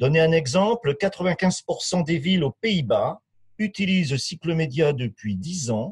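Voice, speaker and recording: Lively intonation from a man, dry with no echo, over a quiet background. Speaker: sales development manager. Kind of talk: webinar presentation. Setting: online webinar.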